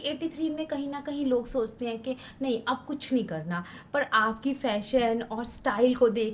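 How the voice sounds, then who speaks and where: This woman has an ordinary speaking voice, fairly high in pitch. Her pitch variation is ordinary. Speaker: podcast host. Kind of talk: interview questions.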